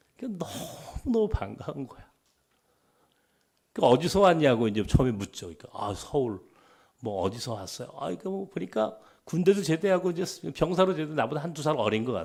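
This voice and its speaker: A man's fairly high voice with a Chungcheong accent, very wide pitch swings, big shifts in loudness, vocal fry and long, frequent pauses, on a very clean recording with a silent background. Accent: Chungcheong dialect features. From Seoul, partly Chungcheong (Dangjin). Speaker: pastor. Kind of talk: sermon.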